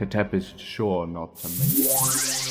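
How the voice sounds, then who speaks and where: With music in the background, a man speaks at a very slow pace and ordinary pitch variation. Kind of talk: dramatised game lore narration. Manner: enthusiastic, dramatic.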